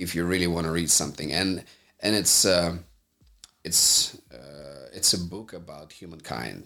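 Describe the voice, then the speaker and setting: A man speaks at a moderate pace in a very deep, low voice with vocal fry and ordinary pitch variation. Long, frequent pauses and big swings in loudness break up his speech. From Moldova. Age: 30s. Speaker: entrepreneur. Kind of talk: casual interview.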